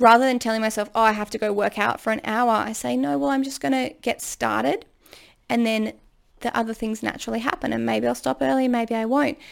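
Speaking at a fairly quick pace, a woman with a fairly high pitch and lively intonation has an unremarkable speaking voice. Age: 30s. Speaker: podcast host and ADHD coach. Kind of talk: solo monologue advice podcast. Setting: home recording room. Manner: casual and chatty.

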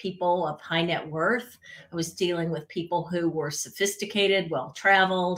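In an American accent, a woman speaks at a fairly low pitch. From US South, central Florida. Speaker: etiquette expert. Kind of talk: interview.

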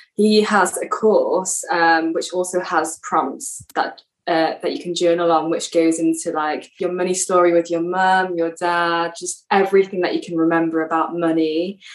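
A woman's fairly low voice in an English accent, monotone and flat, at a moderate pace with hardly any pauses. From England. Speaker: yoga teacher trainee and podcaster. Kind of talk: casual interview.

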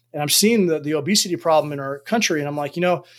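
A man with an American accent, ordinary pitch variation, and a very clean recording over a silent background. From United States. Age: 40s. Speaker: army officer and performance coach. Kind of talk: interview conversation.

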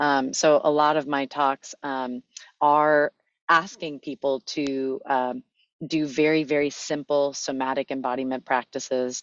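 In an American accent, a woman talks at a fairly slow pace in a very deep, low voice with monotone, flat intonation. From Los Angeles, US. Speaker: wellness company executive and fitness teacher. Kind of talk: casual interview.

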